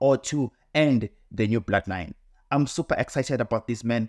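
At a moderate pace and with ordinary pitch variation, the voice comes through dry with no echo against a quiet background. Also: man. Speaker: wrestling commentator vlogger. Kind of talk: casual commentary. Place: home room.

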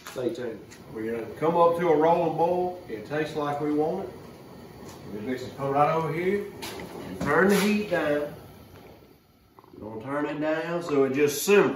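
A man talks at a moderate pace with ordinary pitch variation, long, frequent pauses and big swings in loudness. Light background noise and audible room echo are present. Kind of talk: casual cooking vlog chat. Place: kitchen.

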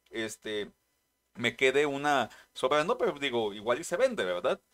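With a Mexican accent, a man speaks at a moderate pace and a fairly high pitch, his voice making very wide pitch swings over a quiet background. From Mexico. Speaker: trading card game youtuber. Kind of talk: casual vlog narration. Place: home room.

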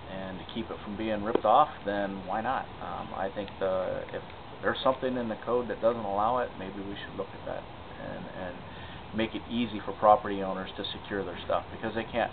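A man's fairly low voice moves at a moderate rate with fairly even intonation while noticeable noise fills the background. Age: 40s. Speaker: city council candidate; council candidate. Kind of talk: interview answers. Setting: outdoors in a city park.

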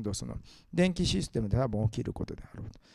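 A man speaks with very wide pitch swings and a dark, mellow tone on a very clean recording with a silent background. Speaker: economist and think tank head. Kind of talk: lecture. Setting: stage with audience.

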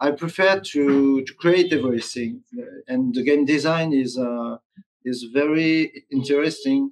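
Against a quiet background, a man with a French accent speaks at a fairly slow pace, his pitch fairly high with ordinary variation. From France. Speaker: tabletop game designer. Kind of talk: interview. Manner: halting. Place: home room.

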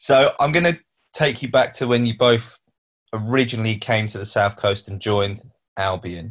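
A somewhat breathy man at a moderate pace, with a quiet background. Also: ordinary pitch variation. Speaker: club media interviewer. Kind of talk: interview. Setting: video call. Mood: relaxed, reminiscing. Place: home room. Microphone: video call.

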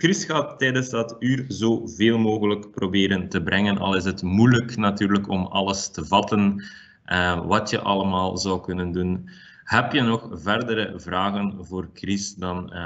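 At a fairly slow pace, a man uses an ordinary speaking voice, fairly low in pitch with ordinary pitch variation. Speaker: webinar host. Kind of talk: webinar introduction. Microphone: webcam.

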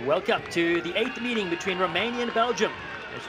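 Noticeable background noise surrounds a man speaking in a raised, projected voice. His tone is animated, his pitch variation ordinary, and his pace fairly quick. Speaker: commentator. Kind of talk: live sports commentary. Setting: stadium commentary over match footage. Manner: animated, excitable, fast-paced play-by-play.

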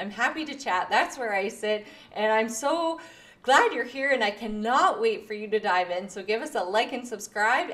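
At a moderate pace, a woman talks with lively intonation and a fairly high pitch. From Canada. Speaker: podcast host and artist. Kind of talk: casual chat. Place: home room. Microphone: studio mic.

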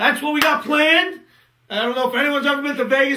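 The voice is raised and projected. It moves at a fairly quick pace with ordinary pitch variation. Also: man. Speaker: trading educator. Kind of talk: webinar presentation. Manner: casual, conversational.

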